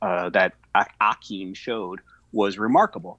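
A man with an American accent speaks in an unremarkable speaking voice, fairly low in pitch and fairly even in intonation. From Upstate New York (Syracuse). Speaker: sports fan guest. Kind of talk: casual chat.

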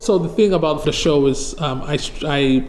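A man speaks with a fairly high pitch. Noticeable background noise can be heard. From Nigeria. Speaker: photojournalist, former firefighter. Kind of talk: interview. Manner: halting.

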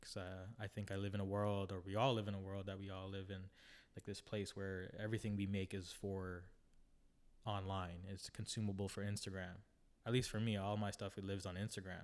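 Speaking in a Canadian accent, a man with a fairly low pitch talks at a fairly quick pace with monotone, flat intonation. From Toronto, Canada (Filipino family). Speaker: emerging photographer. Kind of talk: interview. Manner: halting.

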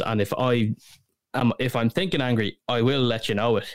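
Recorded very cleanly against a silent background, a man with a Dublin accent talks at a moderate pace and medium pitch, his intonation fairly even and the sound dry and close with no echo. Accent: Dublin Irish. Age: 20s. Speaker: podcast host. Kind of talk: casual chat.

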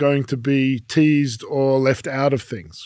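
A man with an Australian accent and a fairly high pitch talks at a fairly slow pace. The recording is very clean, with a silent background. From Australia (Melbourne). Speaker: legal scholar and diplomat. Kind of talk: casual chat.

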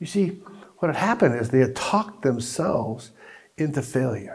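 A man talks at a moderate pace and medium pitch with very wide pitch swings. His voice is somewhat breathy. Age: 60s. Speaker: pastor. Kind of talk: sermon.

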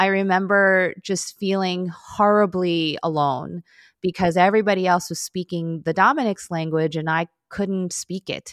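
A woman with a Midwestern accent speaks at a medium pitch and moderate pace, her intonation fairly even and the sound dry and close with no echo. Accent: American (Midwest). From US, Chicago. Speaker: lawyer and vegan food blogger. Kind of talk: interview conversation.

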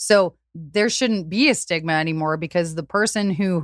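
A woman with an ordinary speaking voice talks at a fairly slow pace in a fairly low pitch. The recording is very clean with a silent background, and her pitch variation is ordinary. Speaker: singer-songwriter. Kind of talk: casual interview chat.

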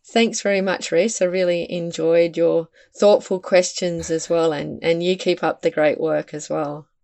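Speaking at a fairly low pitch, a woman talks with hardly any pauses. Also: fairly slow pace. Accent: Australian. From Western Australia. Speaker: environmental campaign founder and author. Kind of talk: interview conversation.

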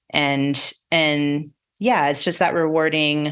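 With an American accent, a woman is talking. Her voice is pitched very deep and low. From southeastern Colorado plains. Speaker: off-road navigation company representative. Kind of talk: casual interview.

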